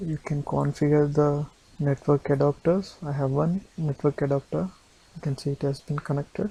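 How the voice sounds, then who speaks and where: A non-native accent marks this voice. It moves at a moderate pace. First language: not English. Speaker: tech tutorial presenter. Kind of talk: tutorial. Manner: halting, self-correcting.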